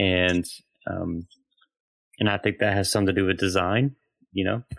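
The speaker has a Southern US accent and keeps a moderate pace. Intonation is fairly even, and the sound is dry and close with no echo. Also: man. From US South. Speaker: theologian and pastor. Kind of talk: interview.

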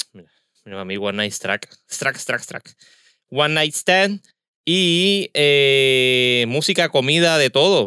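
A man speaks very slowly in a bright, sharp tone with lively intonation and a fairly high pitch. The recording is very clean and dry, close with no echo, over a silent background. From Puerto Rico, Caguas. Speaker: podcast host. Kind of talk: casual interview; podcast intro announcements.

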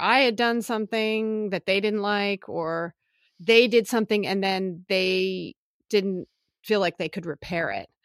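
In a normal speaking voice with an American accent, a woman talks at medium pitch and a fairly slow pace. Her pitch variation is ordinary, and the sound is dry and close with no echo. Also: very clean recording, silent background. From Philadelphia, US East Coast. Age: 50s. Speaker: psychotherapist. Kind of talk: casual chat.

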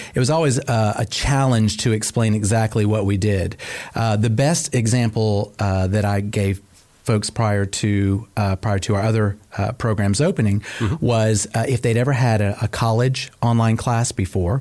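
An unremarkable speaking voice with an American accent moves at a moderate pace. Its loudness stays very even and its intonation fairly even. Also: man, fairly low pitch for a man. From US South, Cobb County, Georgia. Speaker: school program director. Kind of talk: interview.

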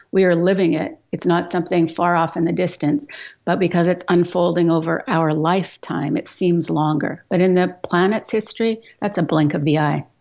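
Speaking with a Canadian accent in a plain, everyday voice, a woman keeps a fairly low pitch, ordinary pitch variation, very even loudness and a moderate pace. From Western Canada (Edmonton, Alberta). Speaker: climate activist, author and professor. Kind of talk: radio interview.

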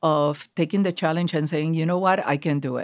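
On a very clean recording with a silent background, a woman talks in a Puerto Rican accent. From Puerto Rico. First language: Spanish. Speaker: marketing executive. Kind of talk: interview. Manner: animated.

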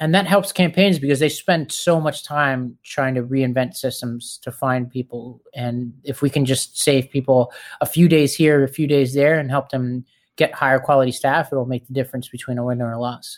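Medium pitch from a man with an American accent, an ordinary speaking voice, fairly even intonation, a moderate pace, and a very clean recording with a silent background. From New York City (Staten Island). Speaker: political organizer and nonprofit founder. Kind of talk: casual interview.

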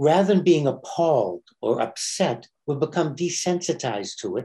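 Marked by vocal fry and a dark, mellow tone, a man's fairly high voice moves at a moderate pace. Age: 70s. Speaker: rabbi. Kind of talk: casual chat.

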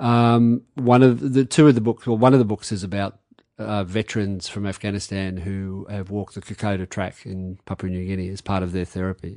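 Over a quiet background, a man with a dark, mellow tone and fairly low pitch talks at a fairly quick pace, showing ordinary pitch variation and big swings in loudness. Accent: Australian. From Australia, Campbelltown on the edge of Sydney. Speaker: novelist and army reservist. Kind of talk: interview conversation. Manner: hesitant, with frequent repetitions.

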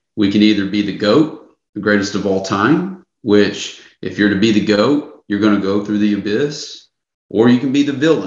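An American accent marks this man's fairly low voice at a moderate pace. Audible room echo surrounds it. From US South. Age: 30s. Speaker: men's coach. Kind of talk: interview.

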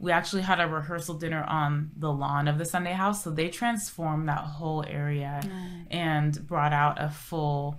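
The speaker talks at a moderate pace with fairly even intonation, and audible room echo surrounds the voice. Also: woman, very deep, low pitch for a woman. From Southern California, Orange County. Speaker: TV lifestyle co-host and reporter. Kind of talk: casual interview chat. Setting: studio, on camera.

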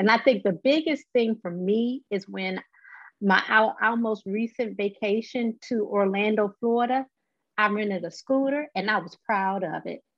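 This woman's pitch sits fairly high and varies an ordinary amount. She talks at a moderate pace in an ordinary speaking voice. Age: 40s. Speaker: patient advocate living with MS. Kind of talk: interview.

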